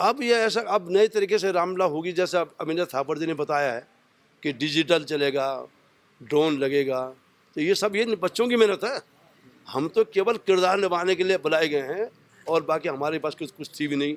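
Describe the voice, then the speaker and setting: A man speaks at a moderate pace. His voice is high, with ordinary pitch variation. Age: 70s. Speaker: retired police officer and Ramlila actor. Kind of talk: interview.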